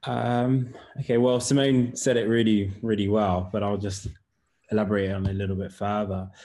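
A man with a British accent speaks at a moderate pace against a quiet background. His fairly low voice has a dark, mellow tone and fairly even intonation. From UK. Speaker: writer and director. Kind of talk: online panel Q&A.

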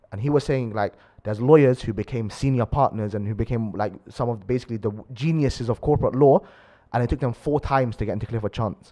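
A man's medium-pitched voice in a London accent, dark and mellow in tone, at a very fast pace. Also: ordinary pitch variation, quiet background. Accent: London multicultural English. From London (Acton, west London). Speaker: university student, aspiring lawyer. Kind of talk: casual chat.

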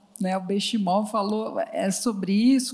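Her voice is somewhat breathy, the woman pitched fairly high with a dark, mellow tone. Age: 60s. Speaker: psychologist and HR consultancy founder. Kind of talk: panel talk on stage. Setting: stage with audience.

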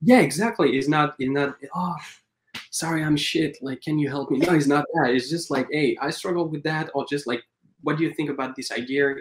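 This man speaks with a French accent. His pace is fairly quick. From France, Paris. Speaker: animator. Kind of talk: interview. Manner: halting.

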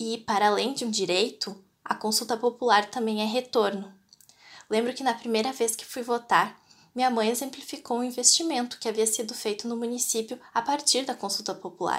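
Speaking at a moderate pace, this is an ordinary speaking voice. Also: woman, fairly high pitch for a woman. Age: 20s. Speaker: voter. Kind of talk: prepared statement.

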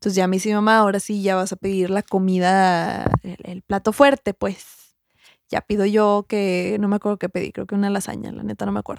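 A woman in a Mexican accent speaks fairly quickly at medium pitch with monotone, flat intonation, in a dry, close sound with no echo. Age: 20s. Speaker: podcast co-host. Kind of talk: casual chat.

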